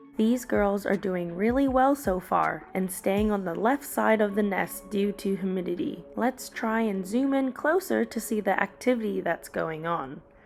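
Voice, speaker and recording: A woman at a medium pitch with lively intonation and a moderate pace, music playing in the background. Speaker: ant keeping youtuber. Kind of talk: video narration.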